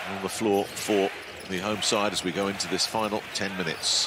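A man with a fairly low voice speaks at a moderate speed, with noticeable noise behind him. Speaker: sports commentator. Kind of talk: live basketball commentary. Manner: excitable at big plays.

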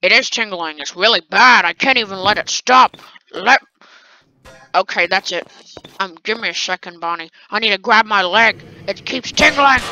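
A female-sounding put-on character voice, fairly high in pitch, at a moderate pace with long, frequent pauses. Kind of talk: pirate talk. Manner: whiny, rambling.

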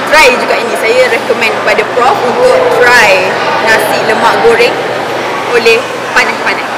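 Over loud background noise, a woman talks at a moderate pace with ordinary pitch variation. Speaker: food reviewer. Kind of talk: casual vlog chat. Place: cafe. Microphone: camera far.

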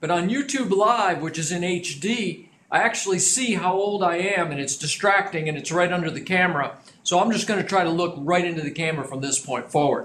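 A man's high-pitched voice at a fairly quick pace, ordinary pitch variation, with light background noise. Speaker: business trainer. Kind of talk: lecture. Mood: friendly, lightly humorous. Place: studio.

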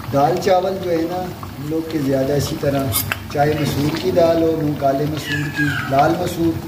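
The speech moves at a moderate pace with fairly even intonation, and background noise is clearly audible. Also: man, fairly high pitch for a man.

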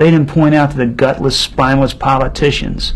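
A man is talking. His speed is moderate. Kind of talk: interview answer. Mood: earnest, firm conviction. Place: studio.

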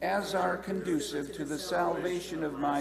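Loud background noise surrounds a man talking at a fairly slow pace. His pitch variation is ordinary. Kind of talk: liturgical prayer reading. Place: church. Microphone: podium.

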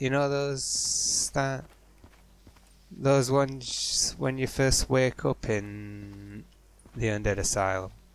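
A man speaks at a very slow pace. Background noise is noticeable throughout. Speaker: gaming YouTuber. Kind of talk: casual gameplay commentary.

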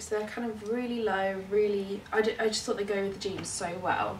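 A woman with a fairly high pitch is heard over light background noise, with audible room echo. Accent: southern English. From London. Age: 20s. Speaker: lifestyle vlogger. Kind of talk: casual vlog. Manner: animated. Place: home room. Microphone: camera far.

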